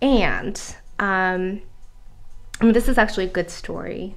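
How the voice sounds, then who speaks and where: Amid audible room echo, a woman speaks at a moderate pace and a medium pitch. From South Korea, moved to US at 11. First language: Korean. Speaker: author and life coach. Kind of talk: interview conversation.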